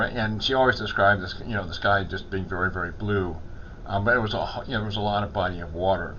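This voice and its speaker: Pitched fairly low, a man talks at a very fast pace with ordinary pitch variation. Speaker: chaplain. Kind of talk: casual talk to camera.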